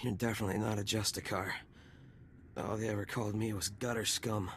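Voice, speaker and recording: Over clear background noise, a man uses a raspy, put-on character voice, fairly low in pitch, talking very fast with flat, monotone intonation and very even loudness. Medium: video game. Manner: wry, sarcastic.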